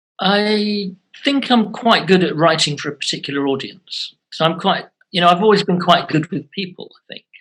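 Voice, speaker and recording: Big swings in loudness mark this man's speech. His pitch is high with ordinary variation. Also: moderate pace. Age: 60s. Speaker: author and former teacher. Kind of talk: interview conversation. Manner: halting, many fillers and restarts.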